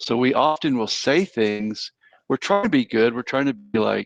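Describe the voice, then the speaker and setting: A man with an American accent and an ordinary speaking voice talks at a moderate pace with medium pitch and ordinary pitch variation, in a dry, close sound with no echo. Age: 60s. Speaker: counselor and professor. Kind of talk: interview.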